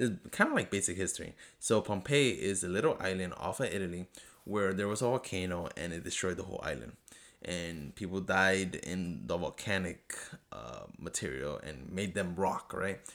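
The voice carries a non-native accent and vocal fry, with an animated tone. The pace is moderate, with ordinary pitch variation. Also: man, very deep, low pitch for a man. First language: not English. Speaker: podcast host. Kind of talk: solo TV episode review monologue.

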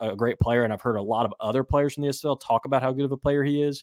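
A man with fairly even intonation, in a dry, close sound with no echo, on a very clean recording with a silent background. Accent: American. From West Virginia. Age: 30s. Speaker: football writer. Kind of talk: casual chat.

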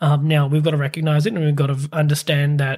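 This man's voice sits fairly high and sounds somewhat breathy, with fairly even intonation. The recording is very clean, with a silent background. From Pakistan. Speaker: startup accelerator CEO. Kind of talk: interview.

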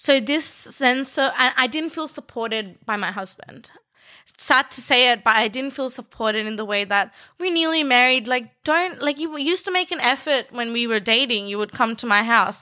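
A woman with a high voice and an Australian accent speaks in a bright, sharp tone with lively intonation. The recording is very clean, with a silent background. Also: moderate pace. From Bangladesh (Dhaka) until 10, then country New South Wales, Australia. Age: 20s. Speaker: fashion designer and law student. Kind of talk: casual interview chat.

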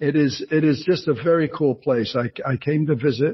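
A man's somewhat breathy voice with an American accent, fairly high in pitch, fairly slow, and fairly even in intonation. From New Jersey. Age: 60s. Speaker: author and retired actor. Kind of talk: interview. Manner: halting, many fillers.

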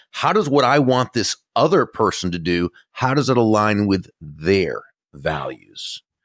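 Speaking with an American accent at a fairly slow pace, a man uses a medium pitch with very wide pitch swings. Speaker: author and speaker on influence. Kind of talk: interview. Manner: clear.

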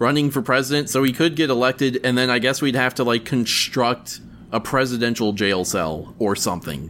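In an ordinary speaking voice, a man talks at medium pitch with ordinary pitch variation and a moderate pace. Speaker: podcast host. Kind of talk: casual banter podcast.

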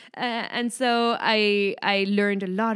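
Here a woman speaks in a French accent. Her pitch is medium. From France. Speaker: startup founder. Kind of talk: casual chat.

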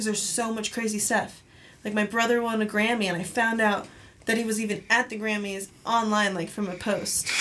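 Woman with a normal speaking voice, fairly high pitch, fairly even intonation, and a moderate pace. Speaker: violinist and electronic musician. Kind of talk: casual interview chat. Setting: studio.

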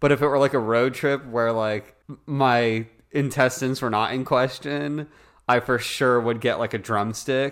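A man speaks in a plain, everyday voice on a very clean recording with a silent background. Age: 20s. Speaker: company CEO and podcast co-host. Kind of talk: casual chat. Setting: studio.

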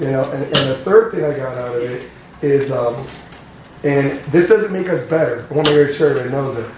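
A man at a fairly high pitch and very fast pace, with noticeable background noise. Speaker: congregation member sharing. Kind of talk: casual testimony. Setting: church.

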